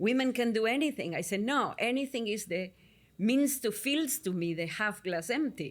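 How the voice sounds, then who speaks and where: A woman's fairly high voice with lively intonation at a moderate pace, on a very clean recording with a silent background. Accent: Argentinian. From Argentina. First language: Spanish. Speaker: psychotherapist. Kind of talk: interview.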